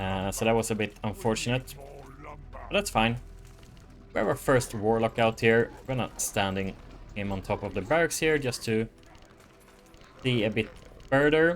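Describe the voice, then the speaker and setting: Music plays in the background as a man talks. His voice is medium in pitch with ordinary variation, at a fairly slow pace. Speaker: gaming YouTuber. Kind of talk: live gameplay commentary. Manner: casual with fillers.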